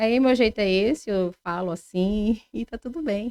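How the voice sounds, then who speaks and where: A strong Pará accent with ordinary pitch variation, in a dry, close sound with no echo on a very clean recording with a silent background. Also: woman. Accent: Pará accent, kept strong. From Pará, Brazil (Salinópolis, coast). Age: 30s. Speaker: podcast guest. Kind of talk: casual interview.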